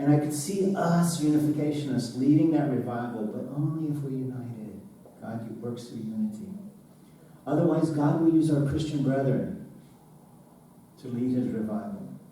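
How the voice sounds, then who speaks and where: Against noticeable background noise, a man with a fairly high pitch speaks at a moderate pace, leaving long, frequent pauses. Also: ordinary pitch variation. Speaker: church sermon speaker / pastor. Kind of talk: sermon delivered to a congregation.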